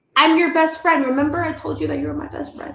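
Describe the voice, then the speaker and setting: In an American accent, the speaker talks at a very fast pace with an animated tone. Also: woman. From Miami, Florida. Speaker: business coach. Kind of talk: livestream talk to audience. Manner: loud.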